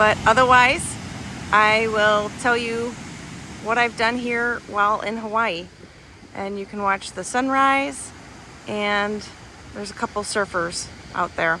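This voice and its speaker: A soft-spoken woman with a calm tone and fairly high pitch talks at a fairly slow pace, with ordinary pitch variation. Long, frequent pauses break her speech, and there is noticeable background noise. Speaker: commercial real estate professional. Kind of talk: travel vlog narration. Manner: calm, soft-spoken.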